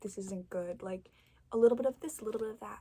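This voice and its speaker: Soft-spoken, a woman talks in a dark, mellow tone. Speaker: ASMR creator. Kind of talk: ASMR tarot card reading.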